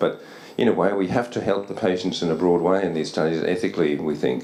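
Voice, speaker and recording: With an Australian accent, a man speaks at a very deep, low pitch and fairly even intonation. Audible room echo and noticeable background noise surround him. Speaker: psychiatry researcher. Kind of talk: conference lecture. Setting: academy hall with audience. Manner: fast; halting, many repetitions.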